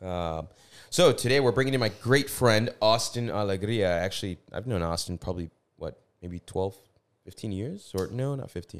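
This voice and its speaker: A man with a plain, everyday voice speaks at a fairly low pitch and moderate pace, his intonation lively. His loudness swings a lot, on a very clean recording with a silent background. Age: 30s. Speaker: podcast host. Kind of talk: casual interview chat. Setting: studio.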